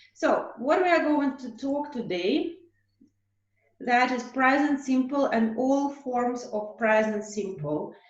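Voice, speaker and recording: A woman speaks at a very slow pace in a high pitch. Her intonation is lively, and audible room echo surrounds her. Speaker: English teacher. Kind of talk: online lesson.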